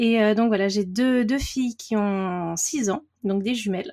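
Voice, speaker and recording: Somewhat breathy and dark, mellow in tone, a woman with a fairly high pitch speaks at a fairly slow pace with fairly even intonation, recorded dry and close with no echo. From Paris region, France. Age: 30s. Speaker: watercolour artist. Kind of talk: casual interview chat. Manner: hesitant, many fillers.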